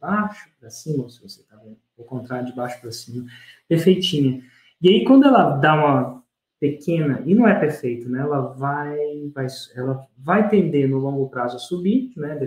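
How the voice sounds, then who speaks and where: A man talks with a fairly high pitch and ordinary pitch variation. His voice is somewhat breathy, with big swings in loudness. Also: moderate pace. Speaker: podcast host and launch course teacher. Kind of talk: casual interview.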